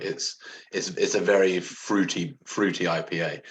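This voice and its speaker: A man speaks. He has an English accent. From England. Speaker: homebrewer, beer enthusiast. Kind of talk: casual livestream beer tasting chat. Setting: live video stream.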